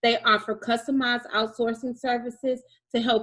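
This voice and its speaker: A woman with a normal speaking voice, fairly high pitch, fairly even intonation and a moderate pace. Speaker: co-host and interviewer. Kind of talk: interview.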